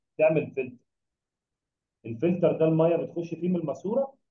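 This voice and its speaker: Long, frequent pauses break up the speech, and audible room echo surrounds it. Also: man. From Egypt. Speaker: biology tutor. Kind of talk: lecture. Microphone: webcam.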